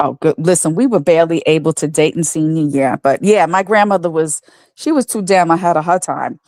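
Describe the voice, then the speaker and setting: A woman speaks in an ordinary speaking voice, fairly low in pitch, at a fairly quick pace with ordinary pitch variation. The sound is dry and close, with no echo. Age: 60s. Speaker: guest. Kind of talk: casual chat. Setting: livestream.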